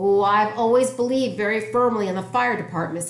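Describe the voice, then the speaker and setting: In a fairly high-pitched, put-on character voice, someone talks at a fairly quick pace over clear background noise. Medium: read story. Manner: formal, grandiloquent.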